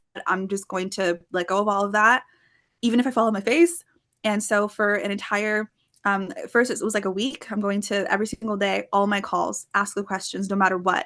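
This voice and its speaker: Against a quiet background, a woman with an unremarkable speaking voice talks at a medium pitch and a fairly quick pace, her intonation fairly even. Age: 20s. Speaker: sales closer and podcast guest. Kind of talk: podcast interview.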